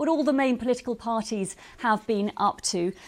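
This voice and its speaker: A woman's fairly high, lively voice at a moderate pace, an unremarkable speaking voice on a very clean recording with a silent background. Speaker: news presenter. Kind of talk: studio interview question.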